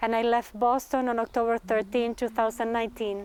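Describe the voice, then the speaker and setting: Her voice fairly high, a woman talks in a Spanish accent. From Argentina. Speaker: performance artist and graduate student. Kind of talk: reading aloud a thesis presentation. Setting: graduate talks event.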